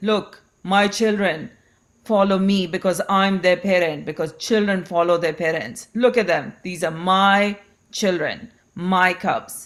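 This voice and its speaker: Using a put-on character voice, a woman with a medium pitch speaks at a fairly slow pace on a very clean recording with a silent background. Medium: read story. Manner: blustering, domineering.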